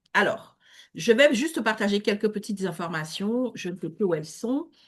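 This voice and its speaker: This woman's voice sits at a medium pitch. She uses lively intonation. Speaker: networking event host. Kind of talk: online networking event hosting. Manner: hesitant with many fillers.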